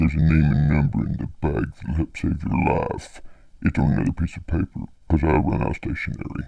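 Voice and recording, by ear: Using a put-on character voice, a man growls in a very deep, low pitch with a menacing tone at a fairly quick pace.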